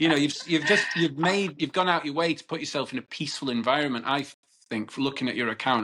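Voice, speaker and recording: Talking at a very fast pace with a northern English accent, a man uses a fairly high pitch, a bright, sharp tone and ordinary pitch variation. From northern England, Cheshire. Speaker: podcast host. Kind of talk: interview conversation.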